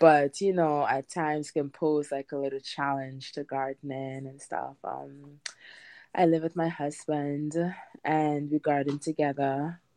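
A woman with a Trinidadian accent speaks in a dark, mellow tone at a very deep, low pitch, at a fairly slow pace with monotone, flat intonation, the sound dry and close with no echo against a quiet background. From Trinidad and Tobago. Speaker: home gardener. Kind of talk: interview.

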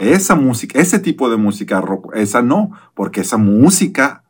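His pitch swings very widely. The man keeps to a moderate pace. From Mexico. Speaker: pastor. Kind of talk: casual chat.

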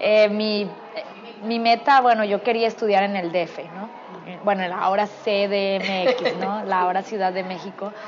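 A woman speaks in a monotone with flat intonation. There is noticeable background noise. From Culiacán, Sinaloa, Mexico. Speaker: actress. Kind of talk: casual interview. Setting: restaurant.

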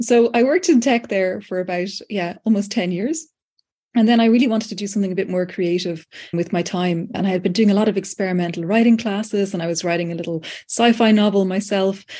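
A woman's very fast speech in a Dublin accent, medium in pitch with ordinary variation and a dark, mellow tone. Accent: Irish (Dublin). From Ireland, Dublin. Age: 40s. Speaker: writer, lecturer and AI tool co-creator. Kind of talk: interview conversation.

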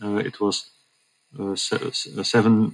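Speaking with a Dutch accent, a man uses a fairly low pitch. His intonation stays monotone and flat. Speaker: hospital communications manager. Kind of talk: interview.

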